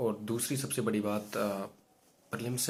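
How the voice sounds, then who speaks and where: A man's fairly low voice stays monotone and flat, moving at a moderate pace. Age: 20s. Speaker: exam aspirant vlogger. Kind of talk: personal video diary. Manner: hesitant, many fillers.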